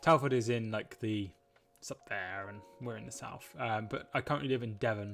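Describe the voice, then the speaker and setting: A man with a West Midlands accent at a moderate pace with ordinary pitch variation, music in the background. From Shropshire, English West Midlands. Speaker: football streamer. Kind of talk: live watchalong chat with viewers. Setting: live stream. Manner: halting.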